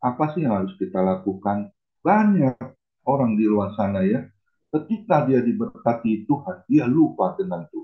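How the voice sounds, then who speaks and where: Lively intonation marks a normal speaking voice moving at a moderate pace. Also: man. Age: 60s. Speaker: pastor. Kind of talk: sermon.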